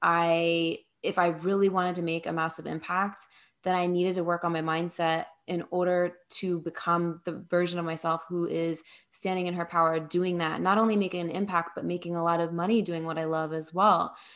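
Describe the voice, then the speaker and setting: A woman's fairly low, flat, monotone voice with an American accent, on a very clean recording with a silent background. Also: moderate pace. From US, New Jersey. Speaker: spiritual mentor and business coach. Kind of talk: interview.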